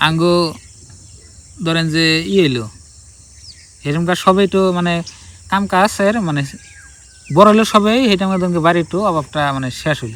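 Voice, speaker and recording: Over noticeable background noise, a man talks with a high pitch and ordinary pitch variation. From Assam, India (Bongaigaon district). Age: 20s. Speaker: vlogger. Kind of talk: casual life-story vlog. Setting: outdoors by a river.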